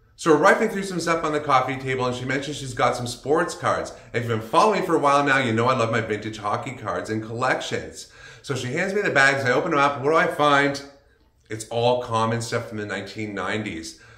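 Audible room echo surrounds this recording. The man in it talks at a very fast pace. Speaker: vlogger. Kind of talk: casual vlog commentary. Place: home room.

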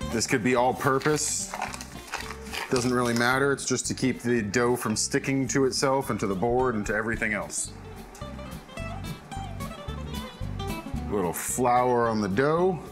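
Against clear background music, a man talks at a fairly slow pace. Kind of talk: tutorial. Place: kitchen.

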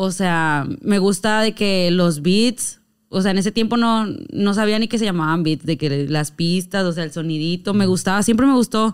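Over a quiet background, a woman talks at a moderate pace with lively intonation. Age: 20s. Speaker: reggaeton rapper and influencer; podcast guest. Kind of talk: casual chat. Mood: playful, animated storytelling. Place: studio. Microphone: studio mic.

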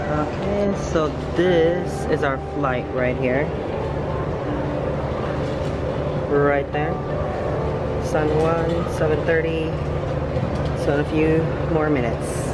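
Loud noise runs in the background as a man speaks at a very slow pace. He leaves long, frequent pauses. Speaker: travel vlogger. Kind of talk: casual vlog chat. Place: station. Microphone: phone near.

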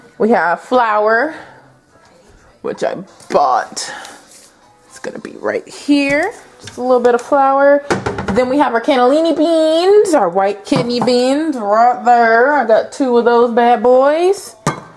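A woman speaks very slowly in a high voice, with long, frequent pauses and big swings in loudness. Faint music plays in the background. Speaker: home cook vlogger. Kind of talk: casual vlog chat. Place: kitchen. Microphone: phone near.

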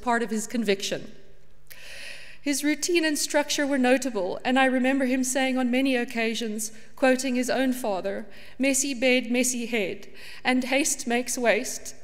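Against a quiet background, the speaker goes at a moderate pace with fairly even intonation. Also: woman. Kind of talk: eulogy reading. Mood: tender, with light laughter. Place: church.

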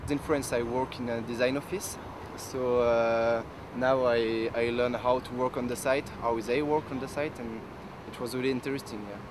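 At a moderate pace, the voice comes through with a dry sound with no echo and noticeable background noise. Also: man. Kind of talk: interview answer. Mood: cheerful, positive. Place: street.

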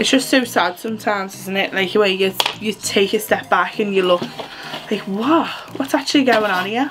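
A woman talks at a moderate pace with ordinary pitch variation. Noticeable background noise runs behind her. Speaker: beauty vlogger. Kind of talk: casual makeup tutorial chat. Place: home room. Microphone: phone near.

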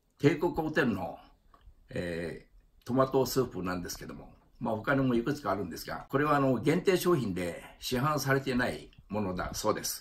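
A male voice with vocal fry at a medium pitch and moderate pace, with very wide pitch swings and big swings in loudness. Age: 80s+. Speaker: elderly home vlogger. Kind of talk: casual talk to camera. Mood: relaxed, good-humored. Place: home room. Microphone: phone near.

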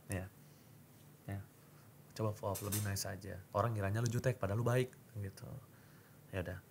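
A man at a fairly low pitch with fairly even intonation, a very fast pace broken by long, frequent pauses, and light background noise. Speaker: esports caster; podcast host. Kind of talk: casual chat. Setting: studio. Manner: loud, fiery. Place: studio. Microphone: studio mic.

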